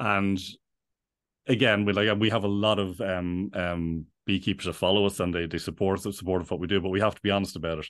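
A man with an Irish accent talks at a very fast pace. His pitch is very deep and low, and his intonation fairly even. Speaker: bee sanctuary founder. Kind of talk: interview conversation. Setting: remote call. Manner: halting, many repetitions.

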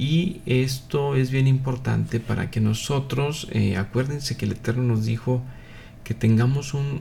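A man is speaking here. His pace is very slow. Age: 50s. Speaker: Messianic religious teacher, physician. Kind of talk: live religious broadcast talk. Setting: live online broadcast. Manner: hesitant, many filler 'eh'.

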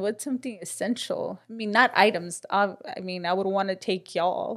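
A woman with an ordinary speaking voice and ordinary pitch variation is heard in a very clean recording with a silent background. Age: 30s. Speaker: podcast co-host. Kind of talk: casual faith-based chat.

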